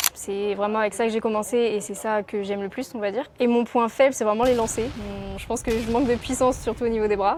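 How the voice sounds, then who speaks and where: A woman with a fairly high pitch and fairly even intonation at a fairly quick pace, amid noticeable background noise. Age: 20s. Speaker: athlete. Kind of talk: interview. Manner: casual, with many hesitations.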